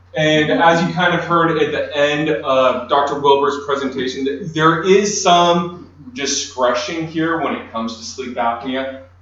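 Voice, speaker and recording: There is noticeable background noise and audible room echo as a man speaks at a fairly high pitch with ordinary pitch variation, at a fairly slow pace with hardly any pauses. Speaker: lawyer. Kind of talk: conference presentation. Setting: conference room with audience, no microphone. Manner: loud. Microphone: speaking without a microphone.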